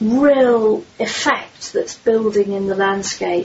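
A woman with an English accent and a fairly high pitch, very slow pace, and noticeable background noise. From London, southern England. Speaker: magazine publisher. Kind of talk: interview.

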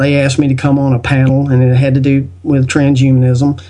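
With a Southern US accent, a man speaks at a fairly high pitch in a dark, mellow tone. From US South. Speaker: podcast guest and video maker on spiritual topics. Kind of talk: casual interview chat.

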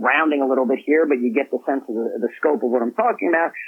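A man is talking. His tone is energetic. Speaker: author and business executive. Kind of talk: interview.

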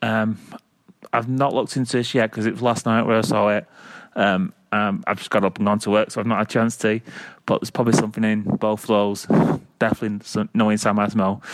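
A man with a Mancunian accent talks very fast in a fairly low, monotone voice. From Manchester, England. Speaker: caller. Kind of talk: voicemail. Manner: halting, many fillers.

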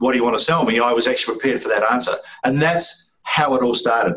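In a New Zealand accent, a man talks at a medium pitch. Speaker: sales strategist. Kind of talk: interview.

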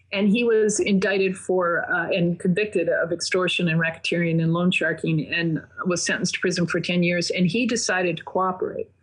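Against noticeable background noise, a woman speaks fairly quickly with hardly any pauses, a medium pitch, fairly even intonation and very even loudness. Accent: American. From Minnesota. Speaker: investigative reporter and author. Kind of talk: interview.

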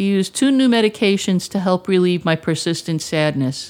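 A woman with a normal speaking voice talks at a moderate pace and a fairly low pitch. The recording is very clean, with a silent background. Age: 50s. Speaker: mental health advocate. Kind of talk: prepared testimony presentation.

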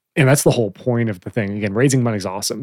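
Recorded very cleanly against a silent background, with a dry, close sound and no echo, a man uses a normal speaking voice at a fairly low pitch with fairly even intonation. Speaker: podcast host. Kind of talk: casual church podcast discussion.

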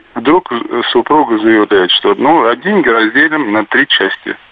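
Over noticeable background noise, a man speaks in a sad tone. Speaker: caller. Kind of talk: phone-in call. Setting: phone call. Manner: sad, heavy-sounding.

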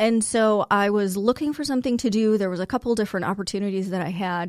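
A woman speaks in a normal speaking voice at medium pitch, with ordinary pitch variation and a fairly quick pace. The recording is very clean, with a silent background. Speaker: guest sharing life story. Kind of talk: interview, personal testimony.

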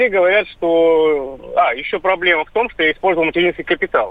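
A man speaks at a high pitch. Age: 30s. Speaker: radio caller. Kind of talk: call-in question.

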